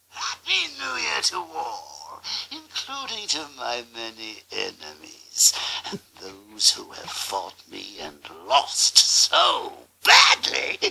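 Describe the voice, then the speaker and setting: Speaking at a very slow pace, the man holds it. He is doing a put-on character voice. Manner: maniacal.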